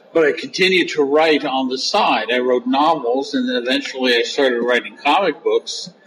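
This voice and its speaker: A man speaks at a fairly high pitch with ordinary pitch variation and hardly any pauses. There is noticeable background noise. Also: moderate pace. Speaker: comics and novel writer. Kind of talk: interview. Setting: on site at a comics convention.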